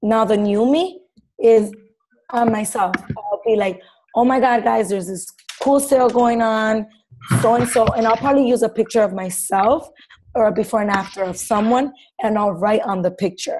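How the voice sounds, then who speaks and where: A woman's fairly high, animated voice at a moderate pace, with ordinary pitch variation and long, frequent pauses. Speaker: fitness coach presenting social media tips. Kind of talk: team call presentation. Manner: loud.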